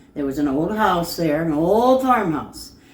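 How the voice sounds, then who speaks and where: Very wide pitch swings from a woman with a very deep, low voice. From US Midwest, northern Indiana. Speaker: local resident sharing memories. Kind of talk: oral history interview.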